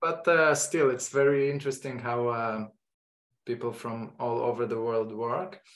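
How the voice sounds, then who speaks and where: This is a man with an Israeli accent. His pitch is medium. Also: ordinary pitch variation, moderate pace. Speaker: photography teacher. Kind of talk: online lecture introduction. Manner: halting.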